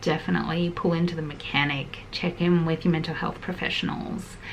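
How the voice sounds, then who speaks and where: A soft-spoken woman with an Australian accent speaks in a monotone, flat way at fairly low pitch, with audible room echo and noticeable background noise. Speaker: lifestyle vlogger. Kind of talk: heart-to-heart vlog chat. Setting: at home in small house.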